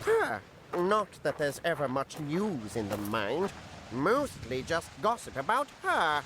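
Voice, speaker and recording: A cartoonish character voice at a middle pitch moves at a fairly slow pace over clear background noise. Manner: chatty, with cawing "gra" sounds and chuckles.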